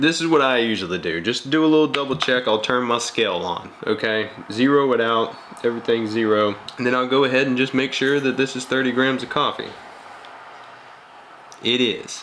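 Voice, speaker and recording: A relaxed man's voice at a medium pitch, fairly quick in pace with ordinary pitch variation and long, frequent pauses, over noticeable background noise. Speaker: coffee channel host. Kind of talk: casual tutorial talk to camera. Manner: relaxed, chatty.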